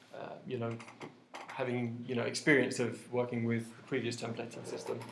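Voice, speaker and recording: A man speaks amid noticeable background noise. The room gives an audible echo. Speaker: web developer giving a meetup talk. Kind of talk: conference talk. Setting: meetup with live audience. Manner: hesitant, many fillers.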